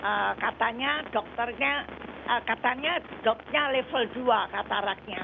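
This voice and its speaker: A woman's fairly high-pitched voice at a fairly slow pace with lively intonation, over noticeable background noise. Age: 80s+. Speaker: caller. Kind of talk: phone-in question. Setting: phone call. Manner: halting.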